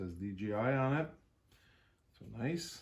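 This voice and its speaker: A man speaks at a medium pitch with a French Canadian accent. Noticeable background noise runs behind him. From French Canada (Quebec region). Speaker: YouTuber, jeep and drone hobbyist. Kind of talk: unboxing video. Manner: hesitant, many fillers.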